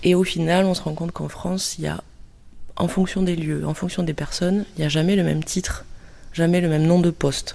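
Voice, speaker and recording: Dark and mellow in tone, the voice moves at a fairly quick pace with monotone, flat intonation. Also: woman, fairly low pitch for a woman. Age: 30s. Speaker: cultural mediator. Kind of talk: interview monologue. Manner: hesitant.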